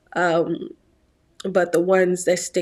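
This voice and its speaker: A woman with an American accent speaks in a fairly low, monotone, flat voice. The recording is very clean, with a silent background. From Virginia, US. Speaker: YouTuber and aspiring actress. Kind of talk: vlog monologue.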